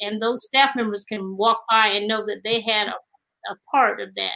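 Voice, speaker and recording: A woman speaks at a moderate pace with an American accent. Her fairly high voice has a bright, sharp tone. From North Carolina, Duplin County. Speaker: artist and retired school principal. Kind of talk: interview.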